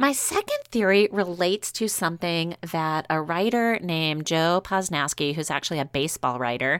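A woman with an American accent and a plain, everyday voice, fairly low-pitched, with lively intonation at a moderate pace and a dry, close sound with no echo. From US South, New Orleans. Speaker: baking podcast co-host. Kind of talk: casual chat.

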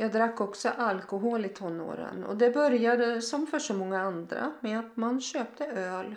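Audible room echo surrounds a woman speaking at a moderate pace with hardly any pauses. Her pitch is fairly high with ordinary variation. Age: 60s. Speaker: podcaster sharing personal faith testimony. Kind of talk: testimony.

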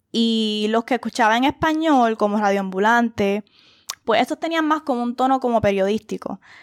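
A woman speaks at a moderate pace and fairly high pitch, with ordinary pitch variation. Her loudness is very even, and the sound is dry and close with no echo. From Puerto Rico. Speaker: podcast host. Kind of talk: casual monologue.

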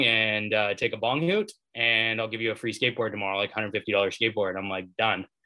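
Here is a man with a Canadian accent and fairly low pitch. He talks at a very fast pace. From Maple Ridge, British Columbia, Canada. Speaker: recovering addict sharing his story, app founder. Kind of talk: personal testimony.

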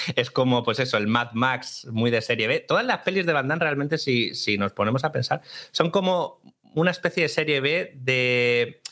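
Using an unremarkable speaking voice, a man with a fairly high pitch talks at a moderate pace, his loudness very even and his pitch variation ordinary. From Málaga, Spain. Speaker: film collaborator. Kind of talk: casual chat.

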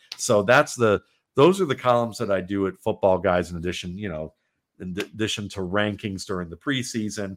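A man with an American accent at a fairly quick pace and a fairly low pitch, with ordinary pitch variation and big swings in loudness, in a very clean recording with a silent background. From Cleveland, Ohio. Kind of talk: casual interview chat. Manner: halting, many filler words.

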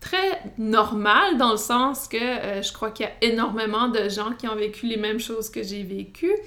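Here a woman speaks at a fairly high pitch. Her pace is fairly slow. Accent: Acadian. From New Brunswick, Canada (Acadian francophone village). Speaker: podcast host and wellness counsellor. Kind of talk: solo podcast monologue. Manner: hesitant, many fillers.

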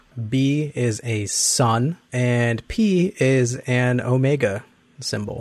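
Playful in tone, a man speaks very slowly at medium pitch with ordinary pitch variation. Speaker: tabletop role-playing player and improv performer. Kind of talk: actual-play role-playing. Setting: online session.

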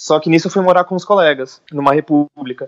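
In a dry, close sound with no echo, a man talks with ordinary pitch variation. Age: 20s. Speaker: illustrator. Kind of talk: interview.

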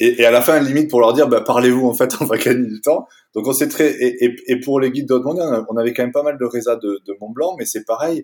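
Very fast speech from a man, medium in pitch, with fairly even intonation. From France, Toulouse. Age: 40s. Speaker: outdoor gear company founder. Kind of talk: interview. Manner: halting, many fillers and repetitions.

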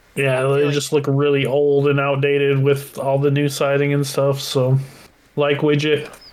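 Against noticeable background noise, a fairly high-pitched man speaks at a moderate pace in a monotone, flat intonation with very even loudness. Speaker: podcast co-host. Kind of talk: casual chat.

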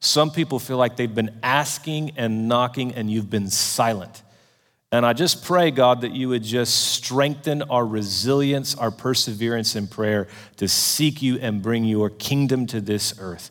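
An unremarkable speaking voice from a man at a medium pitch, with ordinary pitch variation. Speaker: event host. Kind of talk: introduction and prayer. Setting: conference room with audience.

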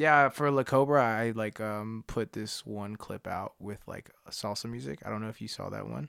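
A man with an American accent and an unremarkable speaking voice talks at a moderate pace, fairly low in pitch and with ordinary pitch variation. He barely pauses, his loudness swings widely, and the sound is dry and close with no echo. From Harrisburg, Pennsylvania, US. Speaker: rapper. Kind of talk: promotion of own music; casual chat.

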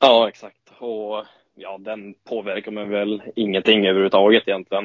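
Delivered at a moderate pace, this man's voice sits at a fairly low pitch. His intonation is monotone and flat. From northern Sweden, Åsele (Lapland). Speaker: ice hockey player. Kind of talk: interview. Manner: halting.

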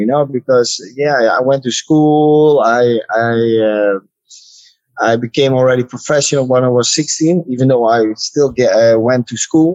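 A man with a Dutch accent speaks at a fairly slow pace, his voice dry and close with no echo. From Netherlands. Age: 30s. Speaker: kickboxer. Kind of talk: interview. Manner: halting.

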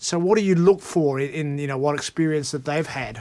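Speaking very fast with an Australian accent, the man has a fairly high pitch and ordinary pitch variation. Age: old. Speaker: podcast host. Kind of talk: casual chat.

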